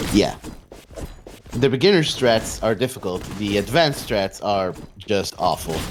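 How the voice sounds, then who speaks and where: A man with a non-native accent speaks at a fairly low pitch for a man, with long, frequent pauses over noticeable background noise. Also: fairly slow pace. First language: not English. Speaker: speedrun commentator. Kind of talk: live commentary. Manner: halting, many fillers.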